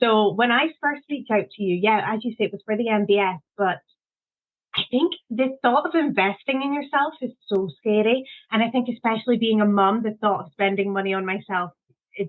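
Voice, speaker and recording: A woman's fairly high voice with a Scottish accent, fairly quick, with ordinary pitch variation. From Scotland. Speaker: confidence coach. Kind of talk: interview.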